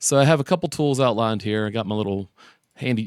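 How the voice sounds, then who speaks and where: A man talks in a normal speaking voice, fairly low in pitch, with lively intonation. The sound is dry and close, with no echo. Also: very clean recording, silent background. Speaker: tech tutorial YouTuber. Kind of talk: tutorial. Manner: casual with many fillers.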